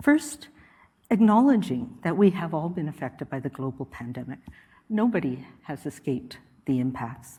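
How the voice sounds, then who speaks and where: A woman with a very deep, low pitch and a dark, mellow, calm tone sounds somewhat breathy, her pitch swinging very widely. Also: moderate pace, big swings in loudness. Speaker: public health official. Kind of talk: lecture.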